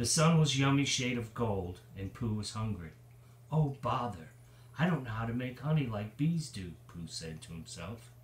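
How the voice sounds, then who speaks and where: A man speaks at a moderate pace, somewhat breathy, with big swings in loudness. Audible room echo surrounds his voice. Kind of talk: storytime reading aloud. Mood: warm, playful. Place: home room. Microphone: phone near.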